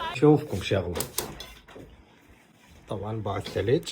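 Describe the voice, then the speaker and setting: A man speaks with an Iraqi accent at a medium pitch. His pace is fairly slow and his pitch variation ordinary. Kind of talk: casual vlog talk to camera. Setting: outdoors.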